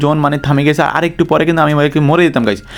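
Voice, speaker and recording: Through noticeable background noise, a man speaks at a fairly high pitch with fairly even intonation. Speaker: gaming YouTuber. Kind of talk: gameplay commentary narration.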